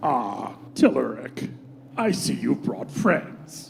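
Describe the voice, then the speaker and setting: A man talks in a put-on character voice at a very slow pace. Background noise is clearly heard. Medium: audio drama. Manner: laid-back, wry.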